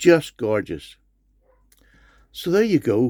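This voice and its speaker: A man with a Northern Irish accent talks at a moderate pace. The recording is very clean and dry, with a silent background and no echo. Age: 60s. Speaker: knife collector YouTuber. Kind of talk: product review. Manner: enthusiastic.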